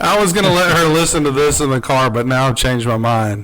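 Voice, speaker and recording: Audible room echo surrounds a man who speaks at a moderate pace with a medium pitch. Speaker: podcast guest, father. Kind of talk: casual chat.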